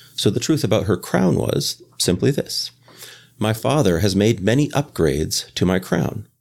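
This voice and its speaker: With a Canadian accent, a man speaks at a moderate pace in a fairly low pitch with vocal fry, very wide pitch swings and very even loudness. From Canada. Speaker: game designer. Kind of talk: casual interview. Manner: hesitant with fillers.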